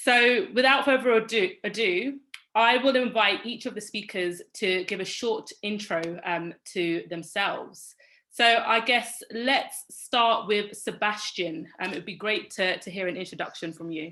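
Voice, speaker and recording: A woman with a British accent, bright, sharp tone, and fairly slow pace over a quiet background. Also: fairly high pitch for a woman, ordinary pitch variation. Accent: very British. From London, England. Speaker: panel moderator, work consultant. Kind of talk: moderated panel discussion. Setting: virtual event video call.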